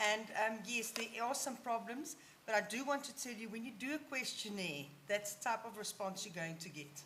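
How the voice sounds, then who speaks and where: At a moderate pace, a woman with a bright, sharp tone speaks with lively intonation and big swings in loudness while room echo is audible. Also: fairly high pitch for a woman. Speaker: session chair. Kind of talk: conference Q&A moderation.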